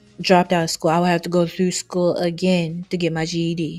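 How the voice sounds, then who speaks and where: A woman speaks softly at a fairly quick pace. Her pitch is fairly low. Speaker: vlogger. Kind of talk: casual rant to camera. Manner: soft-spoken.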